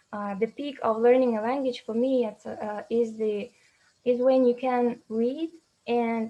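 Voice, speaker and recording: A woman speaks in a high pitch with a dark, mellow tone. Her intonation stays monotone and flat. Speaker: symposium speaker. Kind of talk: academic talk. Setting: video call. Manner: halting.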